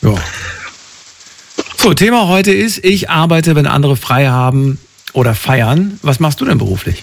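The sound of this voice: Vocal fry runs through this man's fairly high voice. He speaks at a fairly slow pace. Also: lively intonation.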